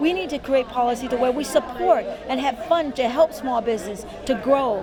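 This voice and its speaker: Against crowd noise and audible room echo, a woman speaks in an animated tone at a high pitch with ordinary pitch variation. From came to the US at age six; Lao/Thai family background. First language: French. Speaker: political candidate. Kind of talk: interview.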